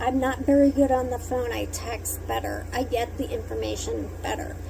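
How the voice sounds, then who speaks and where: A woman mumbles at a fairly slow pace amid audible room echo and noticeable background noise. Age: adult. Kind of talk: personal monologue. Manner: mumbling.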